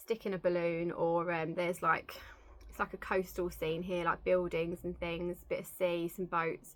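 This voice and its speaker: Speaking in an English accent at a moderate pace, a woman keeps a fairly low pitch and a monotone, flat intonation. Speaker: cross-stitch vlogger. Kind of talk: casual show-and-tell vlog.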